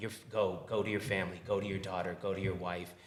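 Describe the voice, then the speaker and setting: A man's flat, monotone voice with audible room echo. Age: 40s. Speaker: restaurant owner. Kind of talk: podcast interview.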